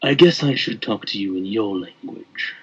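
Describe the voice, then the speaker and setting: A man puts on a character voice at a medium pitch and a moderate pace. His tone is menacing and amused. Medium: actual play. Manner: menacing, amused.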